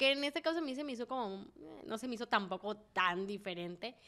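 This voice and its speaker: A woman's lively intonation and moderate pace come across in a very clean recording with a silent background. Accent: Sinaloan. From Mexico, Sinaloa (Mazatlán). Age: 20s. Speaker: podcast co-host. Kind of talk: casual chat. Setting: studio.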